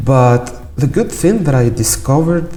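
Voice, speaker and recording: A man talks at a fairly slow pace with lively intonation. Noticeable background noise and audible room echo surround him. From Algeria. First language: not English. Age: 20s. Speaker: podcast guest, petroleum engineering graduate. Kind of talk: self-introduction.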